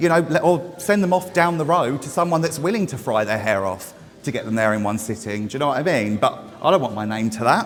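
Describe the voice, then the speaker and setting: A loud man talks at a very fast pace with hardly any pauses, his fairly high pitch making very wide swings. Noticeable background noise can be heard. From Essex, England. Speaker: hair stylist. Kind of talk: live demonstration talk to audience. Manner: casual, sweary.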